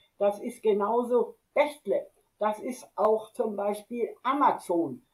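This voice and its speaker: The pace is very slow, with ordinary pitch variation. The tone is dark and mellow. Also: woman. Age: 80s+. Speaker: retired teacher and stock investor. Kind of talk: interview.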